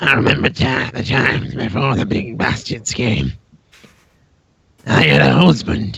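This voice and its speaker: Putting on a raspy character voice, a man swings very widely in pitch at a moderate pace, leaving long, frequent pauses. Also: medium pitch for a man. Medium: actual play. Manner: rambling, bawdy.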